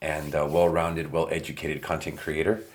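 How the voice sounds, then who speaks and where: A man speaks with a very deep, low pitch. His intonation stays monotone and flat. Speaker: content creator and podcaster. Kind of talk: casual vlog monologue while working. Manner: many filler words and pauses.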